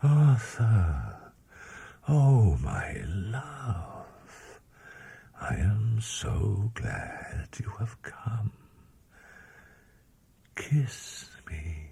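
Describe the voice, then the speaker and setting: A soft-spoken man puts on a character voice at a medium pitch, his intonation lively. He talks at a very slow pace, with long, frequent pauses. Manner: languid, sensual, beckoning.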